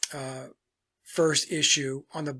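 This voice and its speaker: Medium pitch from a male speaker, captured on a very clean recording against a silent background. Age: 60s. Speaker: musician and songwriter. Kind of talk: casual talk to camera. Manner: relaxed, with frequent fillers.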